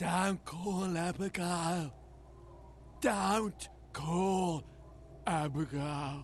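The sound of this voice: In a put-on character voice at a middle pitch, the speaker talks at a very slow pace with long, frequent pauses. Background noise is clearly heard.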